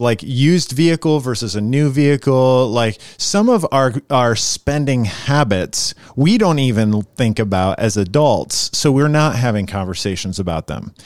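Over a very clean recording with a silent background, a man with a normal speaking voice and medium pitch talks at a moderate pace with lively intonation and hardly any pauses. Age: 40s. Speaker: pastor. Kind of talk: casual chat.

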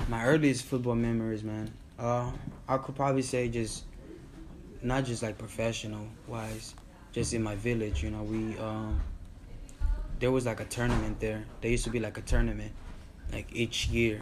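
Amid noticeable background noise and audible room echo, a man speaks with fairly even intonation and long, frequent pauses. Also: medium pitch for a man, moderate pace. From Tanzania. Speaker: podcast co-host. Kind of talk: casual chat.

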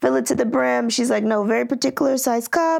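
In a very clean recording with a silent background, a woman with an ordinary speaking voice and a fairly high pitch talks at a fairly quick pace with ordinary pitch variation. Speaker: fitness business owner. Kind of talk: casual chat.

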